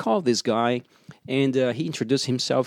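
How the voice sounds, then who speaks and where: Here a man talks at a medium pitch. The recording is very clean, with a silent background and a dry, close sound with no echo. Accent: Portuguese. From Brazil. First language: Portuguese. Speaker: racing driver. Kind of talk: interview. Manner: halting, many fillers.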